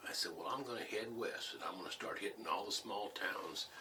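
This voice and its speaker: A man with an American accent, amid noticeable background noise. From Missouri (St. James), US Midwest. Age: 70s. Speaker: war veteran and former business teacher. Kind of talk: oral history interview.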